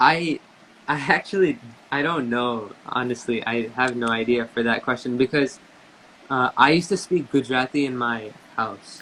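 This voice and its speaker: The speaker has an American accent and a moderate pace. Pitch variation is ordinary. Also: man, medium pitch for a man. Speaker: tabla player. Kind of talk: interview.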